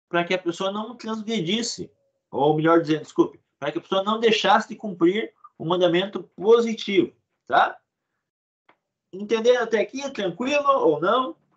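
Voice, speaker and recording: Pausing long and often, a man speaks at a moderate pace with a high pitch and lively intonation. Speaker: religious teacher. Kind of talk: lecture.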